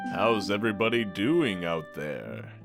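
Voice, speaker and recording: Over clear background music, a man puts on a character voice, fairly low in pitch, at a moderate pace. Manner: upbeat, hosting.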